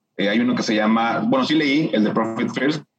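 Audible room echo surrounds a man speaking at medium pitch with lively intonation. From Mexico, Monterrey. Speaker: finance specialist and entrepreneur. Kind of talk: interview.

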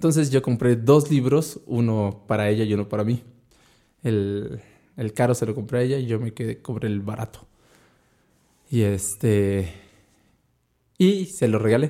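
At a fairly slow pace with long, frequent pauses, a man speaks in a dark, mellow tone at medium pitch with ordinary pitch variation. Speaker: podcast host. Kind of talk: casual chat. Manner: stammering.

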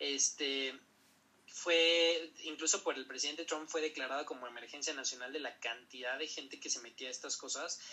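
With a Mexican accent, a man talks at a fairly high pitch with ordinary pitch variation. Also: moderate pace. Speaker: podcast host, medical professional. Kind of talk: casual educational chat.

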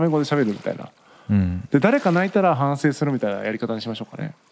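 This man's voice sits at a fairly high pitch. It makes very wide pitch swings. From Japan, Tagawa, Fukuoka. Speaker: podcast co-host. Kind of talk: casual chat.

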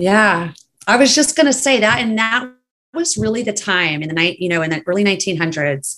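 Her bright, sharp tone rides on very wide pitch swings as the woman speaks. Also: medium pitch for a woman, fairly quick pace. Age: 40s. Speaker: podcast guest, co-host of another podcast. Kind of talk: casual chat.

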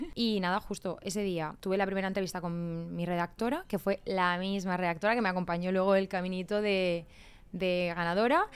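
The woman's voice sits at a medium pitch. She keeps to a moderate pace. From Spain, Murcia. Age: 30s. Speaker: reality TV contestant and influencer. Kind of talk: casual chat.

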